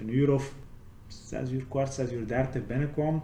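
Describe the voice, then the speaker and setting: Audible room echo surrounds a man of medium pitch talking at a moderate pace. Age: 30s. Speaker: ex-prisoner. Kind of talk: interview testimony.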